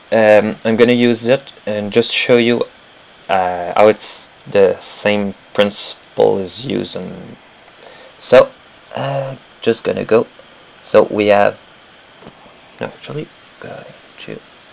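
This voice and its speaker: A man with a French accent speaks at a very slow pace, leaving long, frequent pauses. His loudness swings widely, and there is noticeable background noise. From Quebec. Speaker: animator. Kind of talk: tutorial. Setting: live stream. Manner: halting.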